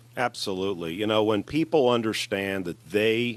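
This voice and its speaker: With a slight New Jersey accent, a man talks at a moderate pace and with ordinary pitch variation. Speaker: entrepreneur and pilot. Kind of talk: radio interview.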